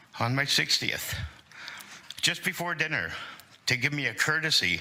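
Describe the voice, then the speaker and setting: Amid noticeable background noise and audible room echo, a man with a Canadian accent talks at a moderate pace. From Hamilton, Ontario, Canada. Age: 60s. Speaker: tenant advocate delegate. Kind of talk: public testimony to city council. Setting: city council committee meeting.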